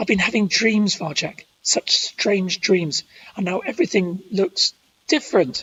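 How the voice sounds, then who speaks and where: In a put-on character voice, a female-sounding speaker sounds gravelly and raspy at a medium pitch. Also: moderate pace. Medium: read story.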